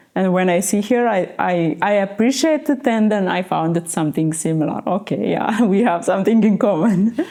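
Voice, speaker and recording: A woman's medium-pitched voice with lively intonation, very even loudness, a moderate pace and hardly any pauses, set against noticeable background noise. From Ethiopia, Addis Ababa. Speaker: model and beauty salon owner. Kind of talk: interview. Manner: halting.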